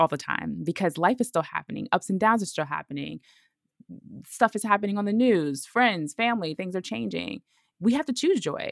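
With an American accent, a woman speaks at a moderate pace and medium pitch, with very wide pitch swings and vocal fry. The recording is very clean, with a silent background and a dry, close sound with no echo. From Brooklyn, New York. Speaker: self-healing expert and podcast host. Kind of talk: interview.

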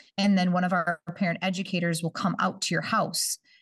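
A somewhat breathy woman with an Upper Midwest accent, at a fairly quick pace. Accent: Upper Midwest (Minnesota). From northern Minnesota, Bemidji. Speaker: early childhood education coordinator. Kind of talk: casual interview chat.

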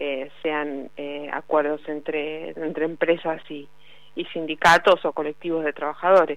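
A woman speaks at a fairly slow pace with a very deep, low pitch. Her intonation is monotone and flat, with big swings in loudness. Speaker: journalist covering labor politics. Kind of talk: radio interview segment.

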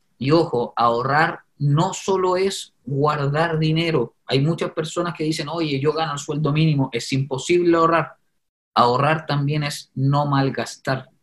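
A man talks at a fairly slow pace with fairly high pitch. His voice is somewhat breathy and his intonation fairly even. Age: 30s. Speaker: media personality and property investor. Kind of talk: interview testimony.

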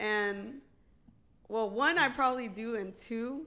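With a bright, sharp tone, a woman talks at a fairly high pitch. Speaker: podcast host, reggaeton artist. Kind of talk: casual chat podcast. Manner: casual, profane.

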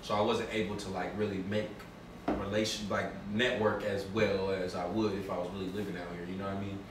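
Over noticeable background noise and audible room echo, a man talks at a fairly low pitch. His intonation is monotone and flat, and his pace is fairly quick. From Oakland, California. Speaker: rapper. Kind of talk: casual chat.

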